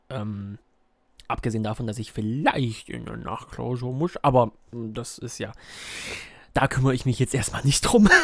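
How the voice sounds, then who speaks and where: Speaking at a fairly slow pace, this man has a medium-pitched voice with ordinary pitch variation. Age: 20s. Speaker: podcaster and university student. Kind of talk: casual solo podcast monologue. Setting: recording at a desk at home. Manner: hesitant, many filler sounds.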